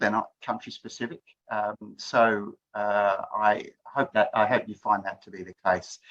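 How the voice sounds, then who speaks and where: A man with an Australian accent has a bright, sharp tone, recorded with a dry, close sound and no echo. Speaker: HIV prevention researcher. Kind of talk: presentation.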